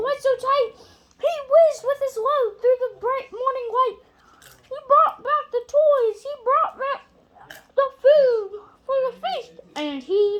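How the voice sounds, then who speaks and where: In a put-on character voice, a woman speaks squeaky and extremely high-pitched at a fairly slow pace, with long, frequent pauses. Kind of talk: rhyming Christmas storybook reading. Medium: read story. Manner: halting, self-correcting.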